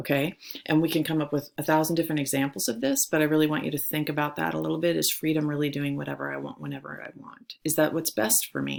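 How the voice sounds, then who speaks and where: A woman rushes along at a very fast pace with hardly any pauses. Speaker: high school theology teacher. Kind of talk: recorded lecture for students. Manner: animated.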